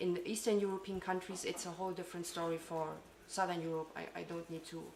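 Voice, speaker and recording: A woman is talking. Noticeable background noise and audible room echo fill the recording. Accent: German. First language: German. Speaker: parliamentary staff member. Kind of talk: conference speech. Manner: halting.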